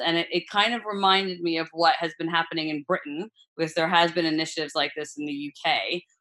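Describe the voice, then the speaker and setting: This woman has an ordinary speaking voice, a fairly low pitch and an American accent, talking at a moderate pace with fairly even intonation. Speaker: food brand founder. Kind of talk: casual interview.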